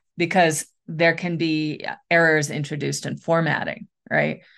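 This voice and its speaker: A woman with an American accent and an unremarkable speaking voice, fairly low pitch and fairly slow pace, against a quiet background. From US Midwest, western Michigan. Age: 40s. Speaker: author, editor and book coach. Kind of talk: interview.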